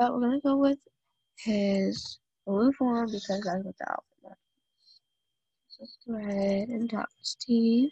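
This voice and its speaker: A woman with a fairly high pitch and a dark, mellow tone at a fairly slow pace, with long, frequent pauses, ordinary pitch variation and big swings in loudness, dry and close with no echo. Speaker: gaming youtuber. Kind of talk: gameplay commentary. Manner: casual, halting with fillers.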